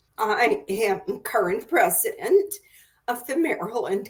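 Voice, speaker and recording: Her voice is high for a woman, and its pitch swings very widely. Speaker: career counselor and author. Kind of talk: video interview conversation. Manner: with pauses.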